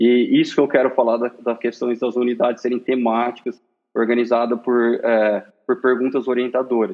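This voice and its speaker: The speaker is a man with an unremarkable speaking voice. He talks fairly quickly. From Brazil, Marília, São Paulo state. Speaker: school manager in education. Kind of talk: interview.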